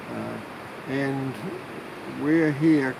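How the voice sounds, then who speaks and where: Noticeable background noise and audible room echo surround a man speaking with a New Zealand accent. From New Zealand, Manawatu. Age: 70s. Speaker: retired family therapist, climate activist. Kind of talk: interview. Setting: outdoors by a river. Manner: halting, many fillers.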